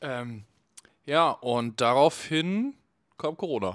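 The man talks with ordinary pitch variation. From Cologne, Germany. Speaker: festival photographer; podcast guest. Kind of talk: casual chat. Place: studio. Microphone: handheld.

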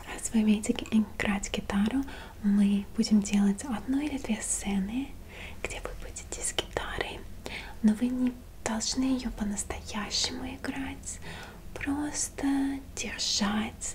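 Soft-spoken, a woman talks with fairly even intonation over light background noise. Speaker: role-play host. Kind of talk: soft-spoken role-play talk to viewer. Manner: soft, intimate ASMR speaking voice. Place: home room.

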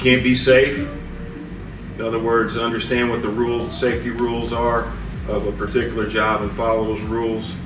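Moderate pace, little pitch movement and clear background noise. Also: man, medium pitch for a man.

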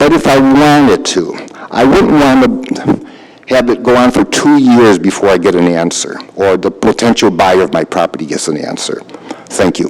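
Lively intonation from a man at medium pitch and a moderate pace, with noticeable background noise. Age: 70s. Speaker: resident speaking at public comment. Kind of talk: public comment at council meeting.

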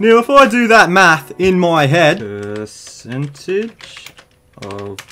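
A man speaks in an Australian accent at a high pitch. His pitch swings very widely. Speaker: comedy YouTuber. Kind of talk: comedic rant to camera. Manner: crude, profane, jokey.

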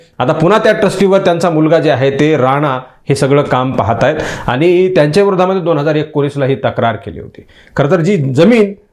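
A man talks with lively intonation at a fairly high pitch. It is an ordinary speaking voice. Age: young. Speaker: news commentator. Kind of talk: political news commentary.

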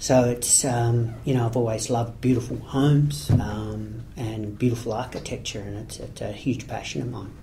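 Against noticeable background noise, a man with an Australian accent speaks at medium pitch and a moderate pace, with ordinary pitch variation, big swings in loudness and hardly any pauses. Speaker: property project marketer. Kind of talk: interview. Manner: halting.

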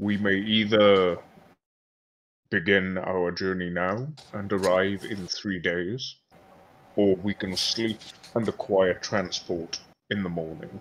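Using a put-on character voice, a man speaks at a fairly slow pace with long, frequent pauses. His pitch is fairly low and his intonation fairly even. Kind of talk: old-fashioned formal speech. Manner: stiff, formal, courteous.

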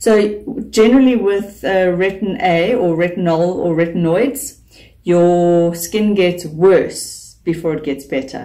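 A woman's dark, mellow tone at a fairly low pitch and a fairly slow pace. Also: quiet background. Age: 40s. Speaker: beauty YouTuber. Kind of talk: vlog talk to camera. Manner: animated. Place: home room. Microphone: phone near.

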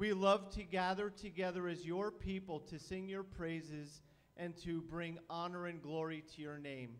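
A man with a high pitch speaks using fairly even intonation. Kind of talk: welcome and prayer. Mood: warm, reverent. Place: church. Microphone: handheld.

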